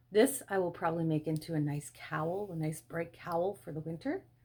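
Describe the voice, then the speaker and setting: A woman talks at a fairly slow pace. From Canada, Ottawa Valley. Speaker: fiber arts YouTuber. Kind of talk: show-and-tell tutorial. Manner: enthusiastic.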